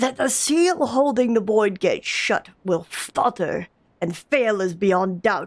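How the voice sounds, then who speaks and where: In a put-on character voice, a woman speaks fairly high and fairly slowly, her pitch swinging very widely while her loudness stays very even. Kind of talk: solemn fantasy oracle. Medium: game stream. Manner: grave, portentous.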